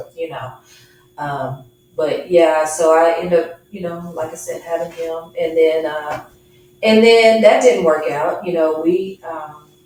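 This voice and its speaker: Fairly low in pitch, a woman speaks at a fairly slow pace with ordinary pitch variation, and the room echo is audible. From Dallas, Texas. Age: 40s. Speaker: guest sharing faith testimony. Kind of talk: testimony; interview.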